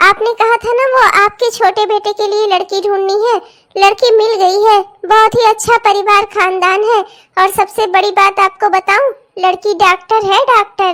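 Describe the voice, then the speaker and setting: A woman does a cartoonish character voice at an extremely high pitch, flat and monotone, at a moderate pace. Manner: chatty, persuasive.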